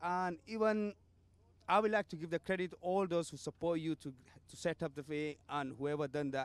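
Dry with no echo, a man's voice sits at a high pitch. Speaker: cricket club representative. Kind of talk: interview. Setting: outdoors in the cold. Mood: upbeat, thankful. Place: street. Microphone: handheld.

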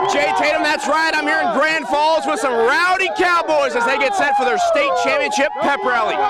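A raised, projected voice with an upbeat, energetic tone and lively intonation, at a moderate pace with hardly any pauses and very even loudness, dry with no echo, with crowd noise in the background. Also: man, extremely high pitch for a man. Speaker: TV sports reporter. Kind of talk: local TV sports news report and live interview. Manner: upbeat, energetic broadcast delivery. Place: stadium. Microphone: handheld.

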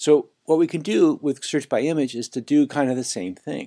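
Against a quiet background, a man with an American accent and a dark, mellow tone talks at a moderate pace. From Los Angeles. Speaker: online course instructor. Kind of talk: screencast tutorial. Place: home room.

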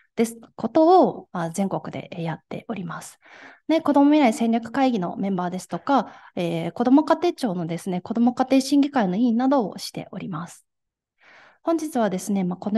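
Over a quiet background, a woman with a fairly high pitch, a dark, mellow tone and a somewhat breathy sound speaks at a moderate pace, with very wide pitch swings and big swings in loudness. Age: 20s. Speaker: gender equality activist; speaker. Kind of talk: lecture. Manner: formal. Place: hall.

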